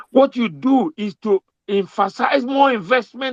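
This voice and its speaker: An animated tone comes through in a dry, close sound with no echo. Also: man. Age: 70s. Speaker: elder statesman. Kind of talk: interview. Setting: online audio space.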